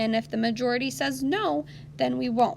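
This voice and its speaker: A woman speaks at a moderate pace in a very deep, low voice with very wide pitch swings, over noticeable background noise. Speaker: elementary school teacher. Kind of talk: online lesson for children.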